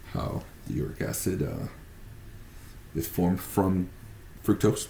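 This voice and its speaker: A man speaks with a very deep, low pitch, vocal fry and a dark, mellow tone. His pitch varies in an ordinary way, broken by long, frequent pauses. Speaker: student presenting a case study. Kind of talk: class presentation. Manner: halting, stumbles over words.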